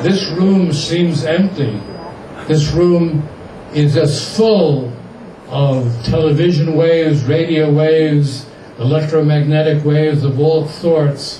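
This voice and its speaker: At a very slow pace, a man speaks in a fairly high pitch with fairly even intonation and very even loudness, with audible room echo and noticeable background noise. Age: 80s+. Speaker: activist and publisher speaking at an event. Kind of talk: speech to an audience.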